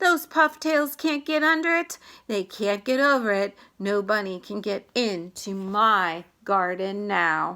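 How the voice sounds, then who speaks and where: Using a put-on character voice, a woman speaks at a medium pitch and a fairly slow pace, her pitch swinging very widely. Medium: read story. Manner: emphatic, exclamatory.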